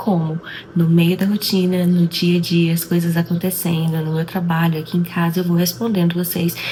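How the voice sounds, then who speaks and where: A woman speaks in a fairly low, monotone voice with flat intonation at a moderate pace. Noticeable background noise runs underneath. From Brazil. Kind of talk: casual vlog intro to camera.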